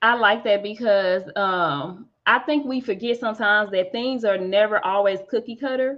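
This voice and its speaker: A woman speaks at a moderate pace with hardly any pauses, her fairly high pitch showing ordinary variation in a plain, everyday voice. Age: 30s. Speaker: podcast host. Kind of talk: casual chat.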